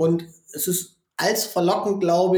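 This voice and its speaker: A man speaks in a high register with a dark, mellow tone and a monotone, flat delivery. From northern Germany, Osnabrück. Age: 30s. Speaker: gaming consultant and former esports champion. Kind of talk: interview. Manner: frequent filler hesitations.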